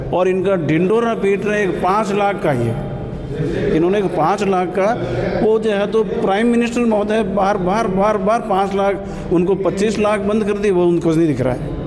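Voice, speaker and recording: A man's high-pitched voice with ordinary pitch variation and very even loudness, plus audible room echo and noticeable background noise. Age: 70s. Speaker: party worker. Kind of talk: street interview.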